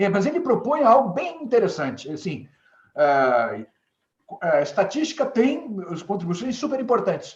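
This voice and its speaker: Extremely high in pitch, a man speaks fairly slowly with very wide pitch swings. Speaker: management consultant. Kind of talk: webinar presentation. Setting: live web broadcast. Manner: hesitant, many fillers.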